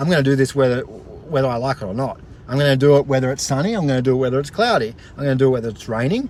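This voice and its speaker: Speaking at a very fast pace, a man with medium pitch sounds energetic and enthusiastic, with ordinary pitch variation. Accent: Australian. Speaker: motivational vlogger. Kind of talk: casual vlog, motivational talk. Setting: outdoors at the beach, live stream. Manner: energetic, enthusiastic.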